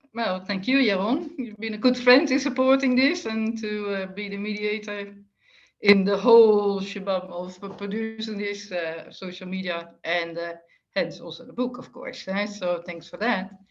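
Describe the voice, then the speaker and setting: The voice, with a slight Dutch accent, swings widely in loudness amid audible room echo. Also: woman, medium pitch for a woman, ordinary pitch variation, moderate pace. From Netherlands. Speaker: retired telecom executive, author. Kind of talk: interview conversation.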